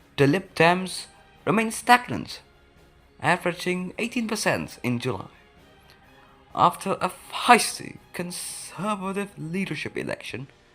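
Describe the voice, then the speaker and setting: A woman's medium-pitched voice with lively intonation, a fairly slow pace, long, frequent pauses and music in the background. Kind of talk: history explainer narration. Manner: higher-pitched than usual.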